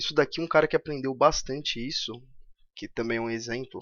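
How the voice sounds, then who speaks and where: An unremarkable speaking voice from a man, medium in pitch, at a fairly quick pace. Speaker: economics YouTuber. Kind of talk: commented reading.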